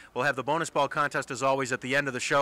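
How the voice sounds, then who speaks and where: Clear music plays in the background. A man speaks in a dry sound with no echo. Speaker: TV bowling show host. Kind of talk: broadcast sports commentary. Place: hall. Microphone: handheld.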